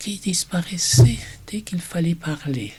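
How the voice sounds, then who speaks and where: A man with a German accent speaks at a fairly high pitch. Noticeable background noise can be heard. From Germany. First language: German (speaking French). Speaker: German teacher. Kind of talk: personal presentation video.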